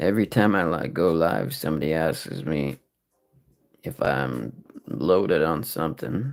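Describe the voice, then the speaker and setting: A man speaks with a very deep, low pitch and vocal fry. His pitch swings very widely. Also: fairly slow pace. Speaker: live-stream scratch ticket streamer. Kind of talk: casual live-stream commentary. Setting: live stream.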